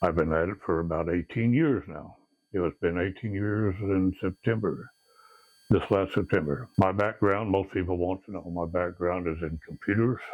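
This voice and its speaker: This man's voice sits very deep and low, with ordinary variation in pitch. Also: moderate pace. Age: 70s. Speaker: paranormal investigator. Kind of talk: interview. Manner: casual.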